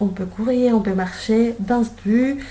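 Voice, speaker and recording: A woman speaks with audible room echo. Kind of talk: casual guided tour. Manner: hesitant, many fillers.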